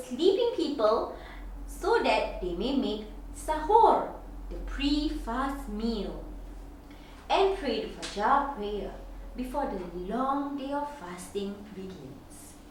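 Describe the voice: A woman's high-pitched voice at a slow pace, with big pitch swings and strong room echo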